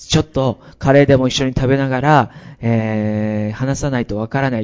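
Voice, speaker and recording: The speaker has an unremarkable speaking voice. The pace is fairly quick. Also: man. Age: 40s. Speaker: pastor. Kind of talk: sermon. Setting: church.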